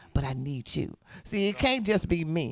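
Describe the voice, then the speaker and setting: A loud man with an animated tone swings his pitch very widely, the sound dry and close with no echo. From US South, South Memphis. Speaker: city council candidate. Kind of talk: radio interview. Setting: studio.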